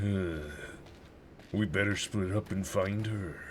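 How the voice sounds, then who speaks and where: Doing a put-on character voice, a man talks fairly slowly with a fairly low pitch and fairly even intonation over clear background noise. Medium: game stream. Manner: florid, old-fashioned diction.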